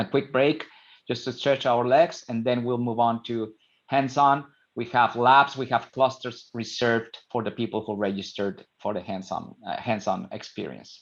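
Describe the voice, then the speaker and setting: The background is quiet as a man speaks. His pitch is medium, with ordinary pitch variation. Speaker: solutions architect presenting a technical webinar. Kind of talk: technical presentation webinar. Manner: fast.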